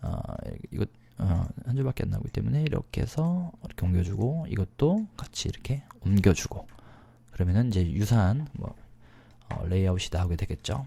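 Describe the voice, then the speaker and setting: A man's fairly low, dark, mellow voice, somewhat breathy, at a fairly quick pace with very wide pitch swings and long, frequent pauses. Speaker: PowerPoint instructor. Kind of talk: screen-recorded software tutorial. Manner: fast-paced, many filler words.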